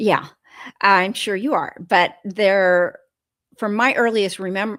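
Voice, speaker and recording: An unremarkable speaking voice with ordinary pitch variation comes through a very clean recording over a silent background. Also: woman. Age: 60s. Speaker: food addiction recovery guest. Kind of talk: interview conversation.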